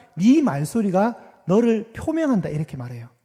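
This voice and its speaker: At a moderate pace, a man speaks in a dark, mellow tone, his pitch swinging very widely. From Gyeongsang province, South Korea. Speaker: pastor. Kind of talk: sermon. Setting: church. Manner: interactive, asks congregation questions.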